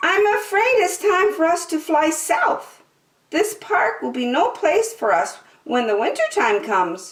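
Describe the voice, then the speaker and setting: Her put-on character voice sits at an extremely high pitch. The woman talks at a fairly slow pace. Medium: read story.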